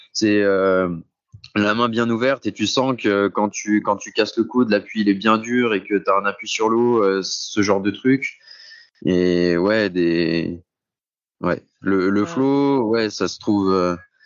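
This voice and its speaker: With ordinary pitch variation, this voice proceeds at a very slow pace. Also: man, fairly low pitch for a man. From France, Saint-Étienne. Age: 20s. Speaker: cross triathlete. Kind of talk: interview. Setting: remote call, outdoors.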